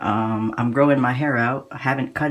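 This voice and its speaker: At a moderate pace and medium pitch, a man talks in an ordinary speaking voice with ordinary pitch variation. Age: young. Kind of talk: casual talk to camera.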